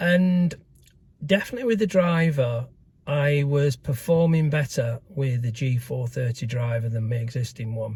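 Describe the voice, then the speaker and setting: Moderately paced, somewhat breathy speech from a man at a medium pitch, with ordinary pitch variation. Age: 70s. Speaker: amateur golfer vlogger. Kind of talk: casual vlog review. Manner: hesitant, many fillers.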